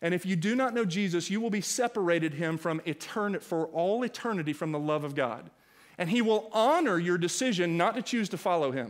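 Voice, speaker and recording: Over a quiet background, a man talks at a fairly quick pace in a high voice with lively intonation. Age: 40s. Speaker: pastor. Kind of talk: sermon. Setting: church. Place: church. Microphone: headset.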